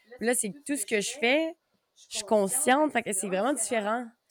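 With an unremarkable speaking voice, a woman speaks at a moderate pace in a fairly high pitch with lively intonation. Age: 20s. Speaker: podcast host. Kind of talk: casual chat.

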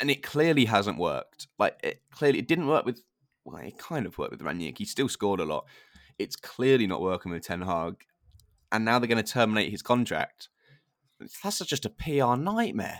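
In a southern English accent, the speaker moves at a moderate pace with vocal fry and very wide pitch swings. The sound is dry and close, with no echo. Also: man, medium pitch for a man. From southern England (Hertfordshire). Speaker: football podcast host. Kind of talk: casual chat.

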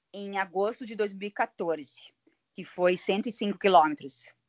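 This woman talks at a very slow pace, her pitch varying in an ordinary way. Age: 40s. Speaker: amateur ultramarathon runner. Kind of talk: casual interview.

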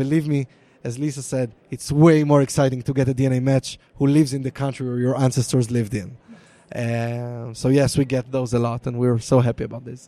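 In an Israeli accent, a man talks at a fairly quick pace with a dark, mellow tone and monotone, flat intonation. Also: medium pitch for a man. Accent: Israeli (Hebrew-accented) English. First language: Hebrew. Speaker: DNA product manager. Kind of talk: live interview. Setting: live recording at conference with onlookers.

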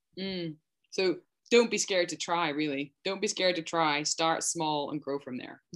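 A woman in a Scottish accent at a moderate pace, fairly low in pitch with ordinary variation and big swings in loudness. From Scotland. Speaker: podcast host and rancher. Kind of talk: casual interview.

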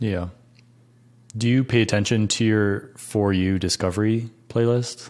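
A man with a fairly low pitch talks at a fairly slow pace, keeping his loudness very even and his intonation fairly even, with long, frequent pauses. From upstate New York, Rochester. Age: 30s. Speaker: YouTuber and hiker. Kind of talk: casual chat.

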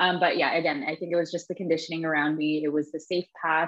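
A woman's fairly low voice, a plain, everyday voice, keeps fairly even intonation. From Toronto, Canada. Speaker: human design teacher. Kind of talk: interview.

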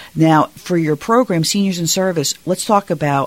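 The speaker keeps a moderate pace amid noticeable background noise. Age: 50s. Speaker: radio talk show host. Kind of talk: interview. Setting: radio studio.

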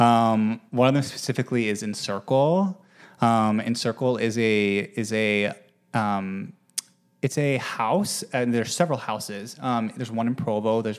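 A man with an American accent talks at a moderate pace. His pitch sits in the medium range. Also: ordinary pitch variation. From Utah. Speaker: actor and musician. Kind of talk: casual interview.

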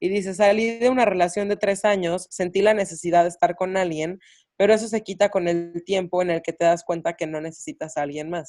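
Speaking at a fairly quick pace, a woman has a medium pitch and a dark, mellow tone. Her intonation is fairly even. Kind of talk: casual chat.

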